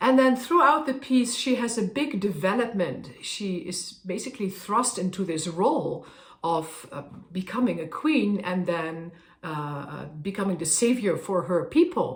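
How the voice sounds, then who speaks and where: With a Dutch accent, the speaker moves at a fairly slow pace through very wide pitch swings, amid noticeable background noise and audible room echo. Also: woman, medium pitch for a woman. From Netherlands. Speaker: opera singer. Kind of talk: casual talk to camera. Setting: at a harpsichord. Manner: halting.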